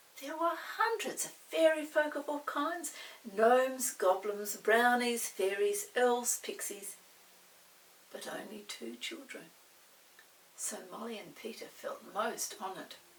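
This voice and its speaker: Against noticeable background noise, a woman speaks fairly slowly in a high voice, with very wide pitch swings, big swings in loudness and long, frequent pauses. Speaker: storybook read-aloud narrator. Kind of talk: children's storybook reading.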